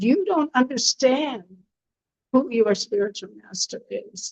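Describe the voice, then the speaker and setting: Female speech, high-pitched and fairly slow. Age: 70s. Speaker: spiritual teacher. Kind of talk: lecture.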